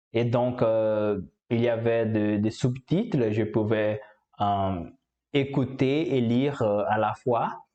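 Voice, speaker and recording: Speaking very slowly in a Portuguese accent, a man keeps a dark, mellow tone, very even loudness, and fairly even intonation. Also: medium pitch for a man. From Brazil. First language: Portuguese (speaking French). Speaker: language learner, YouTuber. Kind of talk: casual vlog monologue. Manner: halting, many hesitations.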